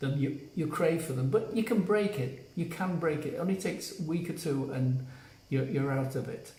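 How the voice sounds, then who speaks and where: Heard with audible room echo and noticeable background noise, a man speaks in a fairly high pitch. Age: 70s. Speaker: health coach. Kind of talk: live stream talk to viewers. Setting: on vacation, not in usual place.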